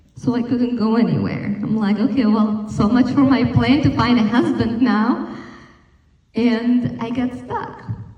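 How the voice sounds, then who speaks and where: A woman with a slight Slovak accent and fairly high pitch speaks at a fairly slow pace with fairly even intonation, amid audible room echo and noticeable background noise. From Slovakia. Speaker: wellness speaker. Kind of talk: talk to an audience.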